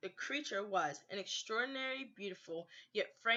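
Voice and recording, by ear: Someone reads aloud here in a natural voice.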